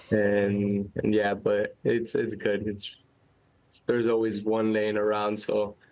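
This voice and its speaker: In a Miami accent, a man speaks very slowly in a fairly low voice with monotone, flat intonation. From Miami, Florida. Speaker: professional soccer player. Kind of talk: casual chat. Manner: halting, many repetitions.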